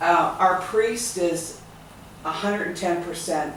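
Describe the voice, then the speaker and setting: A woman with a fairly low pitch talks at a fairly slow pace with fairly even intonation. Audible room echo and noticeable background noise surround her. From Ontario, Canada (Stratford). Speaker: charity volunteer. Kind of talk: group discussion.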